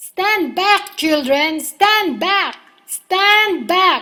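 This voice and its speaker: A woman's put-on character voice, shouting in a raised, projected voice at an extremely high pitch, very slow, with ordinary pitch variation. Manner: shouting, commanding.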